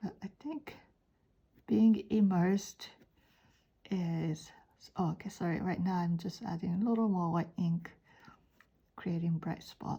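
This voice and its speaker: With a Japanese accent, the speaker talks at a fairly slow pace in a dark, mellow, somewhat breathy tone, with long, frequent pauses. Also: woman, medium pitch for a woman, ordinary pitch variation. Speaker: art teacher. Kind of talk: drawing tutorial. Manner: halting.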